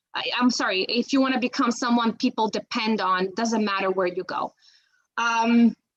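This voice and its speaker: A woman with a Macedonian accent, a fairly high pitch, fairly even intonation and a moderate pace. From North Macedonia. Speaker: bilingual criminal investigator. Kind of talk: career talk to students. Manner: halting, many fillers and restarts.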